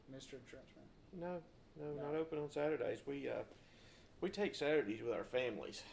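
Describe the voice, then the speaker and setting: Speaking at a fairly quick pace with a Southern US accent, a man leaves long, frequent pauses. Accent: Southern US (Georgia). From US South (north Georgia, Forsyth County). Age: 40s. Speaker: co-host, insurance agent. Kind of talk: casual chat. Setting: living room recording.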